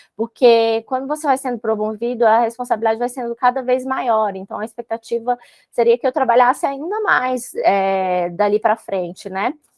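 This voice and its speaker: A woman with a fairly high pitch talks at a moderate pace, hardly pausing at all. Her pitch varies in an ordinary way. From Brazil, Brasília. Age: 30s. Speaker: civil service exam candidate, court employee. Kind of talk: interview. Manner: hesitant, many fillers.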